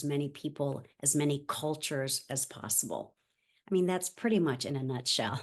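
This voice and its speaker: The woman's pitch moves in an ordinary way, and the background is quiet. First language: Spanish. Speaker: nonprofit founder. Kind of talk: interview. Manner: halting.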